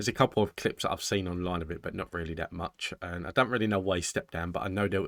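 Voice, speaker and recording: Over a dry, close sound with no echo, a man with a British accent speaks at a very fast pace. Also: very clean recording, silent background. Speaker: reaction video host. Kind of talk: casual chat to camera.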